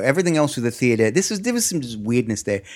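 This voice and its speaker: A man at medium pitch with an Australian accent and lively intonation, in a very clean recording over a silent background. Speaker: stand-up comedian. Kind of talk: casual chat. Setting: studio.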